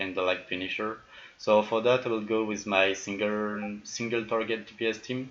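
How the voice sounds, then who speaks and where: A man talks with a French accent at a moderate pace. His fairly low voice has monotone, flat intonation. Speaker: video game YouTuber. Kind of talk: gameplay commentary tutorial. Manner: hesitant, many fillers.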